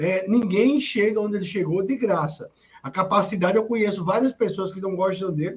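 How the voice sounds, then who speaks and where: A man talks at a moderate pace in a high pitch, and his pitch varies in an ordinary way. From Mossoró, Rio Grande do Norte, Brazil. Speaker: political commentator, journalist and lawyer. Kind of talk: political talk show commentary.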